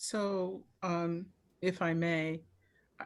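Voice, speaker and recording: A woman speaks at a fairly low pitch. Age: 60s. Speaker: medical doctor panelist. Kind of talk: town hall panel discussion. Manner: animated.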